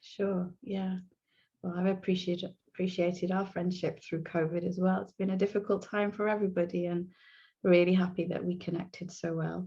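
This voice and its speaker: A woman speaks at medium pitch and a moderate pace, her tone dark, mellow and somewhat breathy. Her intonation is monotone and flat, and the background is quiet. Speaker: hypnotherapist. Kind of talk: video interview.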